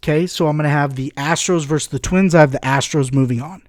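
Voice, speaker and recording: The recording is very clean with a silent background, carrying an unremarkable speaking voice with fairly even intonation. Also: man. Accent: American. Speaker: podcast host. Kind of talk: casual podcast talk.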